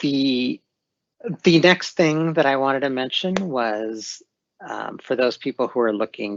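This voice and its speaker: A man talks at a fairly slow pace in an unremarkable speaking voice, with ordinary pitch variation. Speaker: corporate training lead presenting. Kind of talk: webinar presentation.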